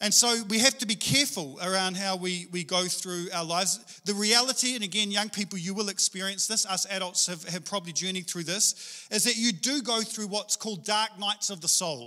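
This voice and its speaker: A man speaks in a raised, projected voice with a bright, sharp tone, a fairly quick pace, hardly any pauses and ordinary pitch variation, against a quiet background. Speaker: preacher. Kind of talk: sermon. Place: church. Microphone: handheld.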